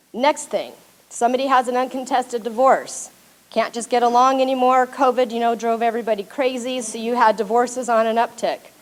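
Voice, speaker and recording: A woman speaks loudly at a high pitch. Her pace is fairly quick. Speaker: paralegal. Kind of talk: presentation to audience.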